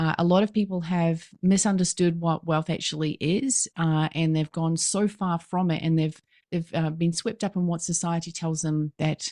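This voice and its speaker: In a New Zealand accent, a woman talks at a moderate pace with a fairly low pitch and a dark, mellow tone. The sound is dry and close with no echo, and the background is quiet. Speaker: business coach. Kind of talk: podcast interview. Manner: animated.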